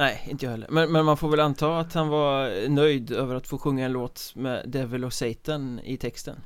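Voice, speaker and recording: A man with a plain, everyday voice, fairly high in pitch, at a moderate pace with fairly even intonation and hardly any pauses. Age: 30s. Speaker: podcast host. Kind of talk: casual chat.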